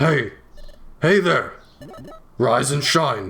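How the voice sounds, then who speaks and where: The voice is a put-on character voice. It sounds raspy. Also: man, fairly high pitch for a man. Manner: cheerful, wake-up call.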